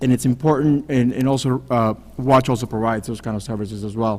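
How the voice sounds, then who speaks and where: A man speaks at a medium pitch. He has a Spanish accent. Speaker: city council candidate. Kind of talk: candidate forum answer.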